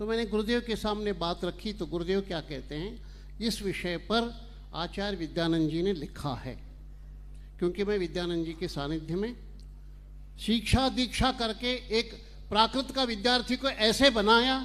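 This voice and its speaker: The speaker is a man with a high pitch. His pitch variation is ordinary. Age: 70s. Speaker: scholar speaking at a religious event. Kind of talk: public speech. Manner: formal.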